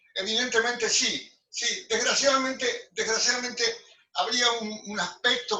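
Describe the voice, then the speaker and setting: A man is speaking. His pace is fairly slow. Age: 80s+. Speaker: architect. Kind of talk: group discussion. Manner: halting, many repetitions.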